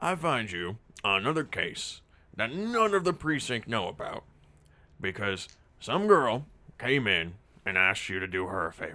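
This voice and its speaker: In a raspy put-on character voice, a man at a medium pitch speaks at a moderate pace with very wide pitch swings and long, frequent pauses on a very clean recording with a silent background. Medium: actual play. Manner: blunt, scolding.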